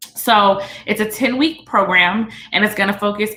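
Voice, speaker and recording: Audible room echo and noticeable background noise surround this recording. In it, a woman talks at a medium pitch with ordinary pitch variation. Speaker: business coach. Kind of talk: teleconference presentation. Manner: fast.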